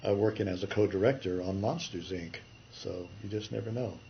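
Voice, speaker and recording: A man with an American accent speaks in a fairly low, somewhat breathy voice. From California. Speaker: retired animation artist. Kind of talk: interview. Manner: halting.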